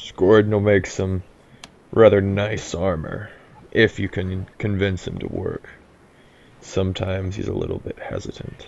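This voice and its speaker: A gruff, put-on character voice from a man, fairly low in pitch, at a moderate pace with long, frequent pauses. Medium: actual play. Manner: gruff, grunting.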